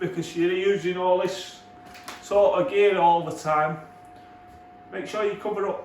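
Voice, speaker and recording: A man shouts loudly over noticeable background noise. Room echo is audible. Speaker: kitchen fitter. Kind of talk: on-the-job tutorial. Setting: work site in a kitchen. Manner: loud, shouting.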